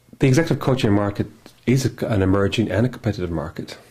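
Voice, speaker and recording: Speaking with an Irish accent, a man goes at a very fast pace. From Ireland. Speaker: executive coach. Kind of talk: business self-introduction. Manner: hesitant fillers.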